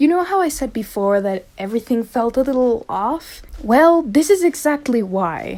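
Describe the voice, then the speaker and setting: A woman with a non-native accent speaks high and at a moderate pace. Her pitch swings very widely. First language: not English. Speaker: video essayist. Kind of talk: unscripted rant. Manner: casual, rambling.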